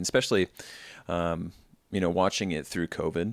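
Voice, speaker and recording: A man speaks at a very deep, low pitch. His intonation stays fairly even. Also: very clean recording, silent background. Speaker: podcast host. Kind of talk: casual interview chat. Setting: pastor's office, not podcast room.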